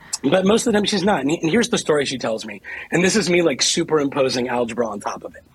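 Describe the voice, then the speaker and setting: A man with an American accent races along at a very fast pace, his pitch swinging very widely. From Ohio, US Midwest. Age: 40s. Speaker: author. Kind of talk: interview.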